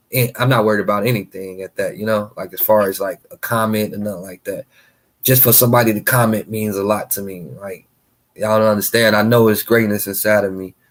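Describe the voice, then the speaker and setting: Speaking at a fairly quick pace, a man with an American accent keeps his intonation fairly even. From Gary, Indiana, US Midwest. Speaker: live streamer and fashion artist. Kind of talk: casual livestream chat. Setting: live stream with music playing. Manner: fast; unscripted, free-flowing.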